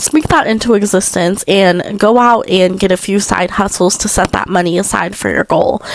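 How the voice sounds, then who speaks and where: Against noticeable background noise, a woman speaks at a moderate pace with a medium pitch. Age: 20s. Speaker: podcast host. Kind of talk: casual advice talk. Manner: casual, filler-heavy.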